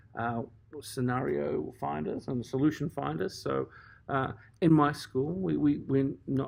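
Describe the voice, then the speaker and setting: A man with an Australian accent, medium in pitch, at a fairly slow pace. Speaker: primary school teacher. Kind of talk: casual interview. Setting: at a conference. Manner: hesitant, many fillers and repeats.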